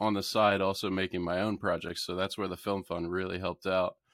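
In a very clean recording with a silent background, a man with an American accent uses a normal speaking voice, fairly low in pitch, at a moderate pace. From south-central Pennsylvania (York). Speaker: filmmaker. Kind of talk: casual interview.

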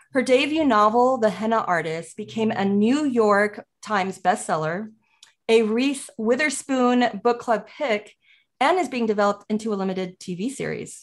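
A woman with an ordinary speaking voice talks at a moderate pace, her fairly high pitch showing ordinary pitch variation. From United States, child of immigrants. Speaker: podcast co-host. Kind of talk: podcast interview; scripted show intro.

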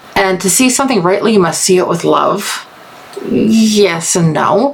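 A woman's voice sits at a medium pitch, with noticeable background noise behind it. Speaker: movie review podcaster. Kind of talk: solo podcast review. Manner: reverent, subdued; halting, tripping over words.

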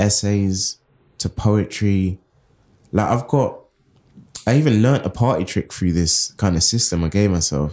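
Speaking with a London accent at a fairly slow pace, this voice has a dark, mellow tone, ordinary pitch variation, very even loudness, and long, frequent pauses. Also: man. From Southeast London. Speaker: writer and editor. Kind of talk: interview. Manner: casual, stream of consciousness.

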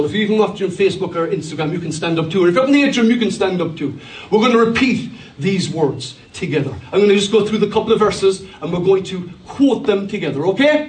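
A high-pitched man's voice, animated and very fast, over noticeable background noise. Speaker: pastor. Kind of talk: sermon; preacher call-and-response. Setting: church with congregation. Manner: animated, with a rousing, exhorting delivery and crowd prompts; humorous, joking asides.

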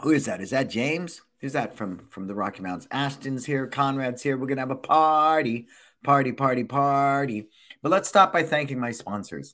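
A man's medium-pitched voice, animated and bright, sharp in tone, on a very clean recording with a silent background. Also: ordinary pitch variation, moderate pace. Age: 60s. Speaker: small business coach and podcast host. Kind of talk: live-streamed casual chat.

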